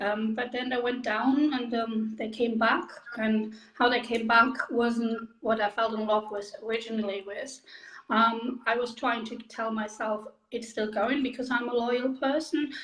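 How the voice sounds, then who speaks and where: A woman with a German accent, fairly high in pitch, at a fairly slow pace with monotone, flat intonation, amid noticeable background noise. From Germany. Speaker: direct sales makeup consultant. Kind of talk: interview.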